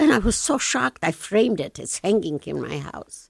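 Speaking in a medium pitch, a woman has a Polish accent. The recording is very clean, with a silent background. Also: dry, close sound with no echo. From Lublin, Poland. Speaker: Holocaust survivor. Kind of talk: interview, recounting personal testimony. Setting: studio.

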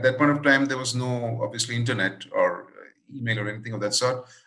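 A man speaks over noticeable background noise. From India, moved around many cities. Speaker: improviser and workshop leader. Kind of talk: interview conversation.

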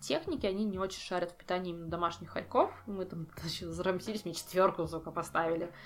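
Music plays in the background. Over it, a woman talks at a fairly low pitch. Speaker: ferret breeder. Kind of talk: casual chat.

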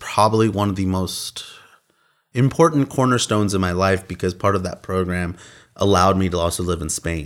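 Recorded very cleanly against a silent background, a man with an American accent talks in a plain, everyday voice at a fairly low pitch with ordinary pitch variation. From Austin, Texas. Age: 30s. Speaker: independent filmmaker. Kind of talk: casual interview.

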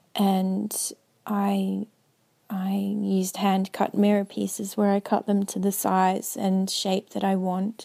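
A woman speaks with an Australian accent. Her pace is very slow. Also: very clean recording, silent background. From Australia (Melbourne). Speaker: milliner. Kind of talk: interview. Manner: halting, many fillers.

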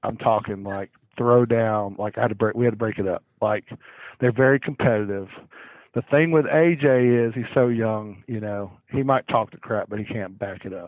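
A man talks in a Southern US accent at a medium pitch. His pace is moderate and his pitch variation ordinary. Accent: Southern US (Georgia). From US South, Cherokee County, Georgia. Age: 40s. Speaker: high school football head coach. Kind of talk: casual interview chat. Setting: phone call.

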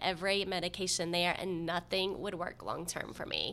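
A woman has an unremarkable speaking voice at a medium pitch. She talks at a moderate pace. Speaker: patient advocate. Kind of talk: interview.

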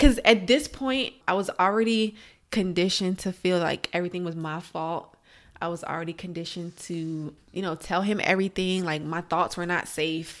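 Speaking with an American accent, a woman uses a plain, everyday voice with fairly low pitch and ordinary pitch variation at a moderate pace. The recording is very clean, with a silent background. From Alexandria, Virginia. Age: young. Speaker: domestic abuse survivor. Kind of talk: testimony.

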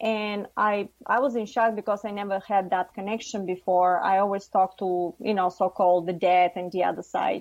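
A woman with a Bulgarian accent speaks at a medium pitch with fairly even intonation. Her pace is moderate, with hardly any pauses. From Bulgaria, Varna. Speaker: psychic and channeler. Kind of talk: radio interview.

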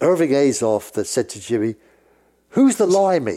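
A man with a British accent speaks at a moderate pace in a dark, mellow tone. His pitch swings very widely. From England. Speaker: music industry veteran, record label executive. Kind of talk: casual interview storytelling.

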